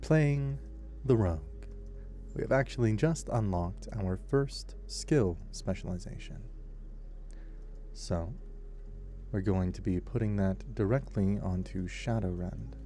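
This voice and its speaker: A man speaks at a fairly slow pace in a calm, gentle tone, with long, frequent pauses. His voice carries an audible room echo. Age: 20s. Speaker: voice actor and gaming sleep-video creator. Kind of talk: calm gameplay narration for sleep.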